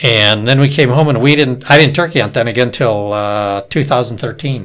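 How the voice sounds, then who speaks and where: At a moderate pace, a man talks in a normal speaking voice, pitched in the middle, with ordinary pitch variation. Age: 60s. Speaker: turkey hunter. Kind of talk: casual chat.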